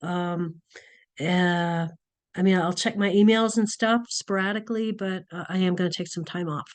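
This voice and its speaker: Against a quiet background, a woman speaks at a medium pitch with fairly even intonation in a normal speaking voice. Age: 60s. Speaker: nursing instructor. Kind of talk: online class lecture. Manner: casual, many fillers.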